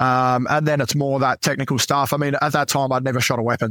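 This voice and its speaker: With an Australian accent, a man speaks at a medium pitch in a bright, sharp tone, the sound dry and close with no echo. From Adelaide, South Australia. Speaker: former navy clearance diver. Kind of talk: casual interview chat.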